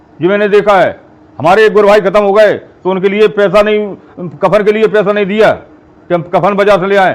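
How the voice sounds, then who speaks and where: Noticeable background noise under a man's moderately paced, high-pitched speech. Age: 70s. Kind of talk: interview.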